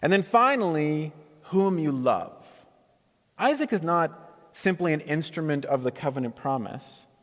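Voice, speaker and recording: Fairly high-pitched male speech at a fairly slow pace, with lively intonation and long, frequent pauses. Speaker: pastor giving a sermon. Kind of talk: church sermon, preaching to a congregation. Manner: conversational, wry.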